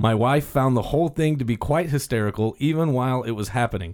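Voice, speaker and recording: An ordinary speaking voice at a fairly quick pace, with ordinary pitch variation, in a very clean recording with a silent background. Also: man. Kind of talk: radio DJ patter: upbeat segment-host banter cueing a guest's PSA and music. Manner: chipper, polite showman tone with easy quips and mock-formal announcer flourishes.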